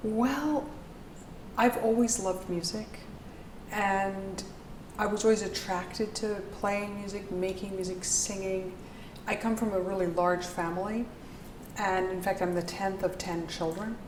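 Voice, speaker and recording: A woman with an American accent, medium in pitch, at a fairly slow pace with long, frequent pauses and fairly even intonation, with audible room echo and noticeable background noise. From US, New York. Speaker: composer. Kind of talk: interview.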